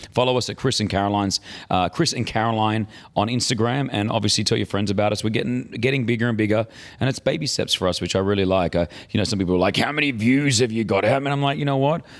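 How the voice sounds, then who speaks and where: Speaking at a very fast pace, a man with a medium pitch keeps his loudness very even and his pitch variation ordinary. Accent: Australian. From Australia. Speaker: podcast co-host. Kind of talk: casual chat.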